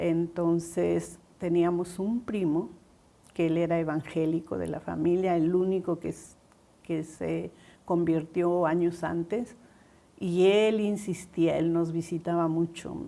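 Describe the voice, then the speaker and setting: Speaking very slowly, a woman uses a fairly low-pitched, dark, mellow tone with monotone, flat intonation. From Peru, Trujillo (La Libertad). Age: 70s. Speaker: pastor's wife. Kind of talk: testimony.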